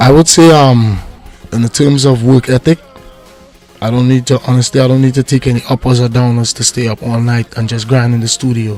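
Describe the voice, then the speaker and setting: A man talks at a fairly quick pace in a medium pitch with monotone, flat intonation. Music plays in the background. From Trinidad and Tobago. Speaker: reggae artist; navy veteran. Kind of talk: interview answer.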